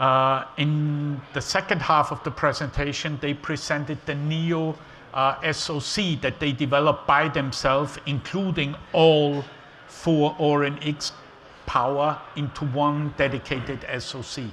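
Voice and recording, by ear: Speaking with an Austrian accent and few pauses, a man uses a fairly high pitch, a fairly bright tone and fairly even intonation. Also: fairly slow pace.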